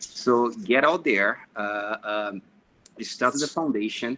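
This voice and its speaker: A man with a Brazilian accent speaks at a moderate pace and medium pitch. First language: Portuguese. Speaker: engineer and project manager. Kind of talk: panel discussion. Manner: hesitant with many fillers.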